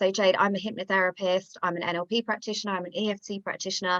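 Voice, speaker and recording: A woman's medium-pitched voice, bright and sharp in tone, very fast, with ordinary pitch variation and a dry, close sound free of echo. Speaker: business coach. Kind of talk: online workshop presentation. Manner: animated.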